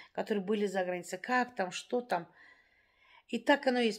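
The pitch varies in an ordinary way. The background is quiet. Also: woman. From Dagestan, Russia. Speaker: vlogger; vlogger telling her life story. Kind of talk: casual monologue to viewers; casual vlog chat. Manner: hesitant, with fillers. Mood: reflective, somewhat sad. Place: home room. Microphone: phone near.

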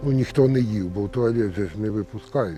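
Music plays behind a man who talks at a moderate pace with ordinary pitch variation. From Zaporizhzhia region, Ukraine. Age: 70s. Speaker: survivor of detention under occupation. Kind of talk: interview answer.

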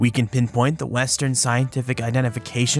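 A medium-pitched male voice over background music. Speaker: science educator. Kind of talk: documentary narration.

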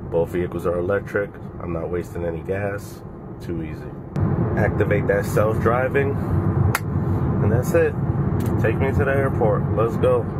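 Fairly slow male speech over loud background noise. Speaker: car rental host. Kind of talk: casual vlog chat. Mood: upbeat, pleased. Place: car. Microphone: phone near.

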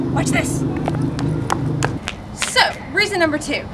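A woman talks at a very fast pace. Loud background noise runs underneath. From Knoxville, Tennessee. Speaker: spokesperson applicant. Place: street. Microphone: camera far.

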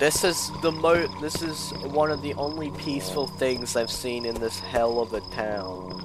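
A man speaks at a fairly slow pace with lively intonation. Noticeable background noise runs behind him. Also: medium pitch for a man. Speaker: let's play gamer. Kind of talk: casual gameplay commentary.

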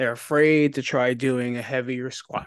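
A man speaks at a fairly high pitch and a moderate pace. The sound is dry with no echo against a quiet background. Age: 40s. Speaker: podcast host. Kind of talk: casual chat. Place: home room. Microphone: studio mic.

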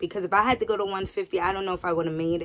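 A woman speaks with an American accent. Her pitch sits at a medium level. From New York. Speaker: nurse. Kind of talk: casual vlog. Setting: home. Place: home room. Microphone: phone near.

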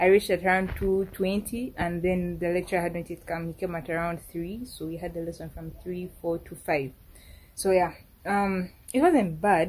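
A woman with a Ugandan accent, fairly low pitch, a somewhat breathy quality, fairly even intonation and a moderate pace. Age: 20s. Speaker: university student vlogger. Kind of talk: casual talk to camera. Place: home room. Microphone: phone near.

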